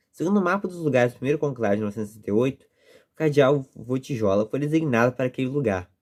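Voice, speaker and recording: Speaking very fast, a man uses lively intonation at a medium pitch. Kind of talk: reading aloud with commentary.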